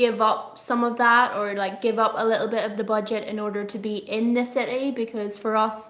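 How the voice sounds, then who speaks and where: Over noticeable background noise, a woman with a strong Irish accent talks at a fairly quick pace and a fairly high pitch, in a monotone, flat way. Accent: pretty strong Irish. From Ireland. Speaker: travel vlogger. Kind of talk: casual live stream chat. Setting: live stream, quiet room.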